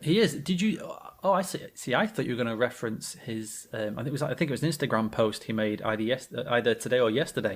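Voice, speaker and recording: Lively in intonation and at a very fast pace, a man speaks at a medium pitch with a British accent. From Britain. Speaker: podcast co-host. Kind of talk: casual chat.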